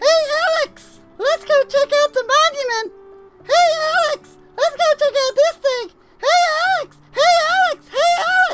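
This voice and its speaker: A squeaky, extremely high-pitched put-on character voice at a fairly slow pace. Faint music plays in the background. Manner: repetitive, pushy, nagging.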